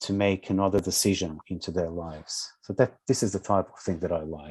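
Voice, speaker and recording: A man with a Portuguese accent speaks at a fairly low pitch and a moderate pace, his tone calm, dark and mellow. The background is quiet. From Brazil, São Paulo. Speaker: social work educator and counsellor. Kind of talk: interview.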